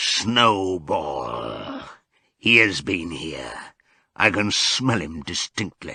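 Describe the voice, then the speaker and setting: Shouting in a put-on character voice, a man booms with a raspy, very deep, low pitch at a very slow pace. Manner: menacing, shouting.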